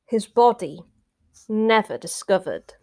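This is a woman speaking with a fairly high pitch. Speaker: podcast host. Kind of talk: true-crime narration. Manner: measured, hushed storyteller pacing with ominous, suspenseful emphasis; clear, steady, conversational delivery.

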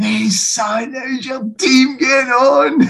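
A high-pitched, put-on character voice with a Glaswegian accent drags along at a very slow pace. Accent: broad Glaswegian. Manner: friendly, teasing.

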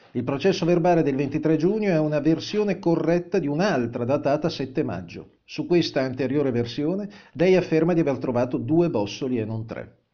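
A man with a plain, everyday voice speaks at a fairly high pitch and a moderate pace, with ordinary pitch variation. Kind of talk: true-crime narration. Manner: formal, measured, dense with dates and documents.

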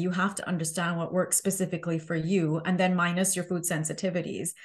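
Over a quiet background, a woman with a somewhat breathy, medium-pitched voice talks at a fairly quick pace. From Southern Caribbean. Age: 40s. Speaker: health coach and author. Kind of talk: interview.

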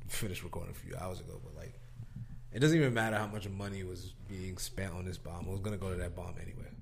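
Delivered at a very fast pace with ordinary pitch variation, the speech swings widely in loudness over noticeable background noise. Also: man, very deep, low pitch for a man. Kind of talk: casual chat.

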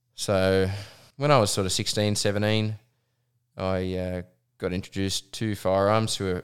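A man speaks at a moderate pace and fairly low pitch with an Australian accent and fairly even intonation. The recording is very clean, with a silent background. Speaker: professional hunting guide. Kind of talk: casual chat.

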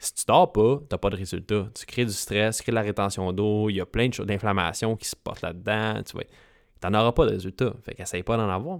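In a very clean recording with a silent background and a dry, close sound with no echo, a man with a Quebec accent talks at a fairly quick pace and a fairly low pitch, with ordinary pitch variation and big swings in loudness. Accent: Québécois French. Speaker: fitness coach and podcast host. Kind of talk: solo podcast monologue. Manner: casual, with English interjections.

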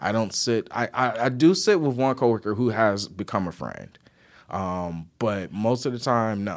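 On a very clean recording with a silent background, a man with an American accent speaks at a moderate pace and medium pitch, in an animated tone with lively intonation. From Detroit, Michigan. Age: 30s. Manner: animated, laughs often.

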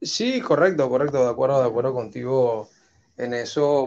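A man speaks at a medium pitch with a Panamanian accent. His pace is moderate and his intonation lively. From Panama, Chiriquí (David). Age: 30s. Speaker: entrepreneur and banker. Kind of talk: interview conversation. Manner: halting, many fillers and repetitions.

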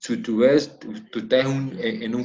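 The speaker is a man with a medium-pitched voice. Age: 50s. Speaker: former footballer and coach. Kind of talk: interview.

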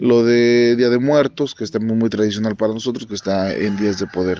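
With his intonation fairly even, the man speaks at a medium pitch. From Mexico, Mixteca region of Puebla. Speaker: teacher and dance tradition expert. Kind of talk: interview testimony. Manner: halting, with fillers.

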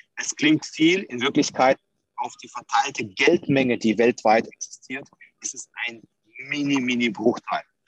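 A man speaks in a plain, everyday voice. The sound is dry and close, with no echo. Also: medium pitch for a man, ordinary pitch variation, fairly slow pace. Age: 30s. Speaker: crypto entrepreneur, former police officer. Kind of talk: interview. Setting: video call.

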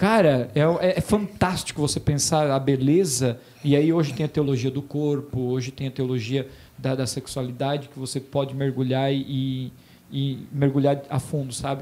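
This man has a fairly high pitch, a dark, mellow tone, fairly even intonation and a moderate pace. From Santa Catarina, Brazil (Botuverá). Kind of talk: casual chat.

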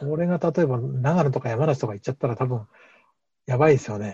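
Against a quiet background, a man with a medium-pitched, somewhat breathy voice and a dark, mellow tone speaks at a fairly quick pace with ordinary pitch variation. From Japan, Hamamatsu, Shizuoka. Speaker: organic farmer. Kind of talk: interview.

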